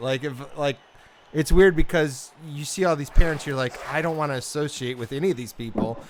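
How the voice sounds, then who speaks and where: Here is a man with a northern Midwest accent. His intonation is lively. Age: 40s. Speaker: gamer. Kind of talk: casual chat.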